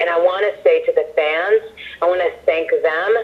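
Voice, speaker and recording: Noticeable background noise behind a woman's moderate-paced speech with an American accent. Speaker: ring announcer and singer. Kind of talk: interview answer.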